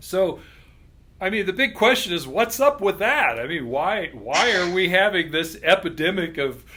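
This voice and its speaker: The voice is raised and projected, with a bright, sharp tone. It moves at a moderate pace through very wide pitch swings. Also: man, high pitch for a man. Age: 60s. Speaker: chiropractor. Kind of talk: interview.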